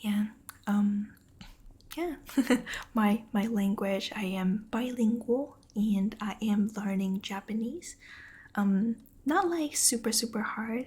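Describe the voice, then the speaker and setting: Soft-spoken and at a very slow pace, the voice leaves long, frequent pauses. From Taiwan. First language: Mandarin Chinese. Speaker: ASMR streamer. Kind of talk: casual chat with stream viewers. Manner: quiet.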